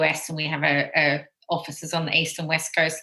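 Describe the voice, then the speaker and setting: With an Australian accent, a woman speaks in a fairly low pitch and a bright, sharp tone. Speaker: tech company executive. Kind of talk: radio interview.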